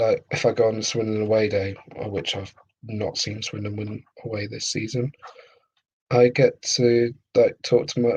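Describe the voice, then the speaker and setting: Somewhat breathy, a man talks in a monotone with flat intonation at a medium pitch. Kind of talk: casual talk to camera.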